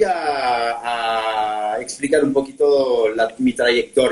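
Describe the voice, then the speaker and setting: Over music in the background, a man with a French accent talks at a very slow pace with very wide pitch swings. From France, Normandy. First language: French (speaking Spanish). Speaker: architect. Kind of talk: interview. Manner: halting.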